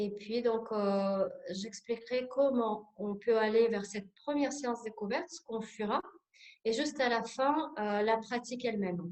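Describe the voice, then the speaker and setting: In a Russian accent, a woman talks at a fairly slow pace. Her pitch is fairly high, with ordinary variation. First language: Russian (speaking French). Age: 40s. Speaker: sophrologist. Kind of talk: workshop presentation. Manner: hesitant, many filler sounds.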